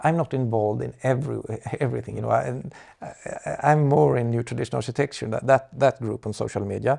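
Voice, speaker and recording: A man speaks very fast in a Swedish accent. The recording is very clean, with a silent background. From Sweden. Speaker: architecture advocate. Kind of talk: interview. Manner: halting, many fillers and repetitions.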